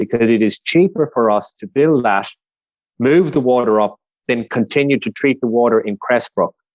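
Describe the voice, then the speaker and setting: In an Irish accent, a man speaks at a medium pitch and a fairly quick pace with ordinary pitch variation. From west of Ireland. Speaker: civil engineer, project manager. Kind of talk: podcast interview. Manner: conversational with frequent fillers.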